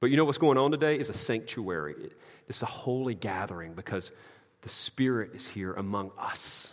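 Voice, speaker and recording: A man with a Southern US accent at medium pitch and a moderate pace, lively intonation and big swings in loudness. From US South. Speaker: pastor. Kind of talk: sermon.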